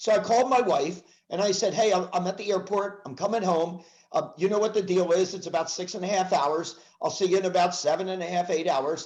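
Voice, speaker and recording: Talking at a fairly quick pace, a man with an American accent has a high pitch and fairly even intonation. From US Northeast, Philadelphia area. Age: 70s. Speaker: sales speaker and trainer. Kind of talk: casual podcast interview.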